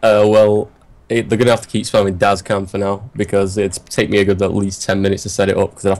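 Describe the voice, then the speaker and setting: Speaking very fast in an English accent, a man delivers his words at a fairly low pitch with monotone, flat intonation. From England, Manchester. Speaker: gamer, team leader interviewee. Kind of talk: casual interview chat. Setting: live stream podcast.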